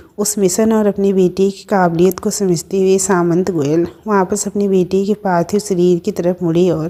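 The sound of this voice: This is an unforced reading voice. The intonation stays fairly even.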